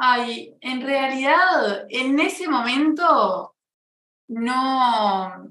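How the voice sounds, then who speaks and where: Projecting a raised voice, a woman speaks at a high pitch and a very slow pace. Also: lively intonation. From Uruguay. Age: 20s. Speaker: interview guest. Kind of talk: casual chat.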